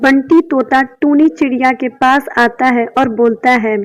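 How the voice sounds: Speech comes at a fairly slow pace with ordinary pitch variation. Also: woman, high pitch for a woman.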